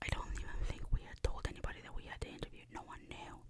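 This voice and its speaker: A woman whispers over noticeable background noise. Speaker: ASMR creator. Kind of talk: ASMR storytime. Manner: whispered, soft-spoken.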